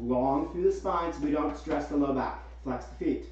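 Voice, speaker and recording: A man's voice carries audible room echo. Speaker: yoga instructor. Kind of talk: guided yoga class with calm cueing. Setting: live Zoom video call, students muted. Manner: soothing, calm, instructive; clear, rhythmic, directive. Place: home room.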